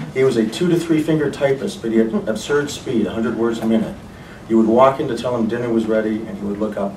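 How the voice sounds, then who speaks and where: A man talks at a very fast pace and medium pitch, with audible room echo and noticeable background noise. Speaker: writer's son. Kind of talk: memorial reading of personal memories.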